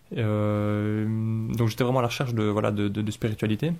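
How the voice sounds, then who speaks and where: A man speaking at a moderate pace. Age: 30s. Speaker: engineer, convert to Islam. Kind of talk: interview testimony. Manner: halting, many hesitations and repetitions.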